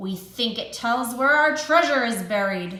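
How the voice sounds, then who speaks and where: A woman's put-on, growling character voice at a fairly high pitch, moderate in pace, with a slight echo. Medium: read story.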